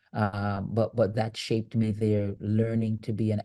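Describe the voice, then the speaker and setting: With a strong Jamaican accent, a man with a fairly low pitch and a dark, mellow tone speaks in a monotone, flat intonation over a quiet background. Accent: Jamaican, thick. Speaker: leadership coach and author. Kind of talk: interview conversation. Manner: frequent repetitions and fillers.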